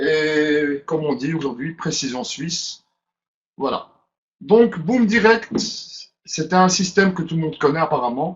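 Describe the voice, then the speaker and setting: This voice speaks at a fairly slow pace with a Brussels accent. Long pauses come often. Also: man, fairly high pitch for a man, ordinary pitch variation. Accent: Brussels Belgian French. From Belgium, Brussels. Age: 30s. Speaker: webinar presenter. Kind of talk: webinar presentation. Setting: online webinar.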